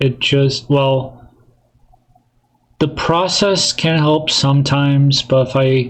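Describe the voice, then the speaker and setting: Very slow and somewhat breathy, a man's fairly high voice holds fairly even intonation and very even loudness, broken by long, frequent pauses. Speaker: solo podcaster. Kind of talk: casual monologue. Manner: soft-spoken. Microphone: echoey mic.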